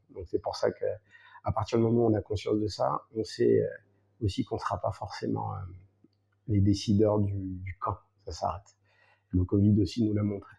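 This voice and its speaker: A man speaks at a moderate pace with long, frequent pauses in a very clean recording with a silent background. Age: 40s. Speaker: salsa dancer and teacher. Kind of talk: podcast interview. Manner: hesitant, many fillers.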